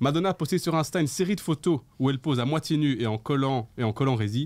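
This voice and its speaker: Lively intonation colors this man's fairly quick delivery. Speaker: livestream show host. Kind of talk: casual live chat show. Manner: animated. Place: studio. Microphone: studio mic.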